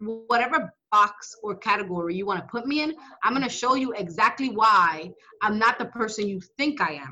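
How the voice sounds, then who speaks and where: A woman's voice with very wide pitch swings over music in the background. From New York City, Dominican-born. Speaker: state legislator. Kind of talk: interview. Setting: office.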